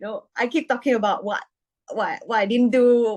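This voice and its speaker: A woman's fairly high voice against a quiet background. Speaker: AI engineer and social entrepreneur. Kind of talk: podcast interview. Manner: soft-spoken.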